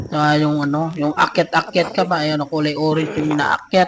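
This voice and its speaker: Noticeable background noise behind a man with a fairly high pitch, moderately paced. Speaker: travel vlogger. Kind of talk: vlog narration. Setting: voice-over recorded separately. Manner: casual, filler-heavy.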